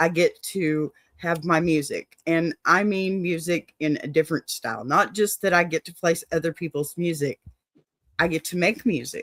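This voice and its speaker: In a plain, everyday voice, a woman with a fairly low pitch speaks with ordinary pitch variation, the sound dry and close with no echo. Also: moderate pace. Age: 50s. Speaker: YouTube talk show host. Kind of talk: casual interview.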